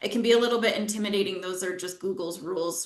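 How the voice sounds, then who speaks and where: A woman is talking. Her words ring with audible room echo. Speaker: software company presenter. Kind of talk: webinar product demo.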